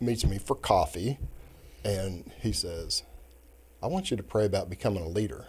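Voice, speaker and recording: A man's fairly low voice with vocal fry and an American accent at a moderate pace, in a very clean recording with a silent background. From Kansas City, US Midwest. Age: 60s. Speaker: retired judge. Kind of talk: casual interview chat.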